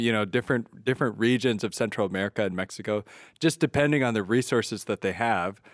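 A man with ordinary pitch variation speaks in an unremarkable speaking voice, the sound dry and close with no echo on a very clean recording with a silent background. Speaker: priest and podcast host. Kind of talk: interview podcast.

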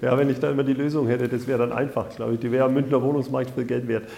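Over noticeable background noise, a man with an Upper Franconian accent speaks at medium pitch. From Upper Franconia, Bayreuth. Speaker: housing cooperative executive. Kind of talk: interview.

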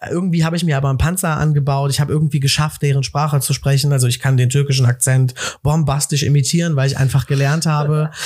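The speaker's animated tone comes at a very fast pace with very even loudness. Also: man, fairly high pitch for a man. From Cologne, Germany. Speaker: entrepreneur. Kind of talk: casual chat.

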